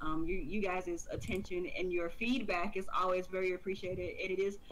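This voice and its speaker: Audible room echo frames a woman of medium pitch speaking at a fairly quick pace. Her loudness stays very even and her intonation fairly even. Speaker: video game streamer and podcast co-host. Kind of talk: casual chat.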